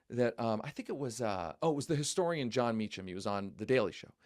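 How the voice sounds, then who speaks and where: A fairly quick-paced man on a very clean recording with a silent background. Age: 40s. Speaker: journalist and editor. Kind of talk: political interview discussion. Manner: animated, repetitive false starts.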